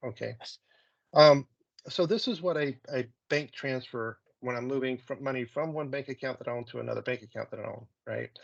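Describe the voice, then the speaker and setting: A fairly quick pace against a quiet background. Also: man. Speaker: software consultant; presenter. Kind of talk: software demo presentation. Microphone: video call.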